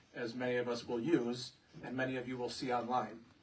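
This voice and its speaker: Clear background noise fills the clip. Over it, a man is talking. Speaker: village president. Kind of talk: presentation at public hearing. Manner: loud.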